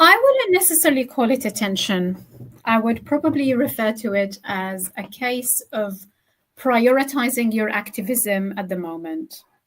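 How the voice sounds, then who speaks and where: With an Arabic accent, a woman speaks at a high pitch and a fairly slow pace. Her intonation is lively. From Gaza, Palestine. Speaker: poet and academic. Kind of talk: interview.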